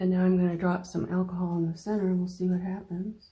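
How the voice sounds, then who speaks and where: A woman's somewhat breathy, dark, mellow tone at medium pitch and a fairly quick pace. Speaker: watercolor painting teacher. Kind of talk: painting tutorial. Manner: mumbling; relaxed, thinking aloud.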